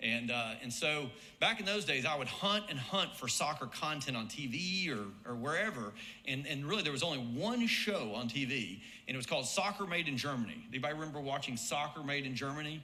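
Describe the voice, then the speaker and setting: In an Alabama accent, a man talks fairly quickly at a fairly high pitch with very wide pitch swings, audible room echo and noticeable background noise. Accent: Southern US (Alabama). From US South, Birmingham, Alabama. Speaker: marketing professor and former soccer coach. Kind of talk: hall of fame induction speech. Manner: conversational, with frequent fillers and repetitions.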